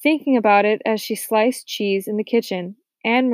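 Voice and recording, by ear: The background is quiet. The voice is reading aloud in a natural voice.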